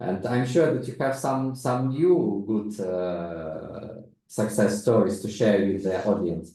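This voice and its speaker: A man with a non-native accent speaks very slowly with hardly any pauses. His pitch is fairly low and his intonation lively. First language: non-native English speaker. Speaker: investment consultant. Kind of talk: webinar panel discussion. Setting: online video call.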